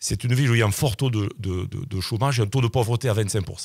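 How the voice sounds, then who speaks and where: A somewhat breathy man, fairly low in pitch with ordinary pitch variation, at a fairly quick pace, the sound dry and close with no echo on a very clean recording with a silent background. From southern France, Sète. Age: 60s. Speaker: local election candidate, general practitioner. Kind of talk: radio interview. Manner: hesitant, repeating words.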